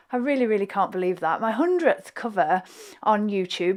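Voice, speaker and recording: With a Yorkshire accent, a woman talks at a moderate pace and a fairly high pitch. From Hull, East Yorkshire, England. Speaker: flute player and YouTuber. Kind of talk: reaction video commentary. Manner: hesitant, many fillers.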